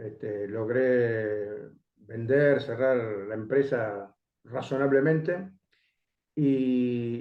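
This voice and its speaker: Speech comes at a very slow pace with long, frequent pauses and ordinary pitch variation, and audible echo fills the room. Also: man, medium pitch for a man. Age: 60s. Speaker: education coalition coordinator. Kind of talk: interview.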